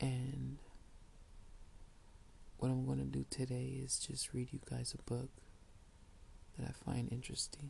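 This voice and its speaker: The voice is soft-spoken and fairly slow. Long, frequent pauses break up the speech. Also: man. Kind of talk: casual talk to camera.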